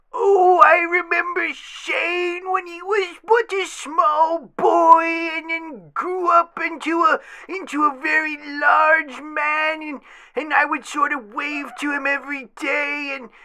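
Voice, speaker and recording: A put-on character voice, shouting at a high pitch and a fairly slow pace. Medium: comedy sketch. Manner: rambling, stammering.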